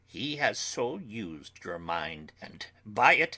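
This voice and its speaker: A man performs a put-on character voice. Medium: read story. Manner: earnest, formal, broken grammar.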